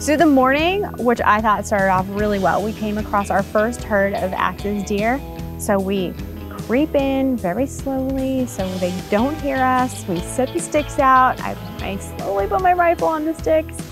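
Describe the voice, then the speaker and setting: A woman's fairly slow speech, dry with no echo, over clear music in the background. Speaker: show host. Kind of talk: interview answer. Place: forest. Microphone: lapel.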